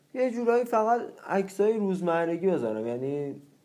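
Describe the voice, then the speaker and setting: An unremarkable speaking voice talks at a moderate pace, its intonation lively. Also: man. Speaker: photography student. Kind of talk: casual chat.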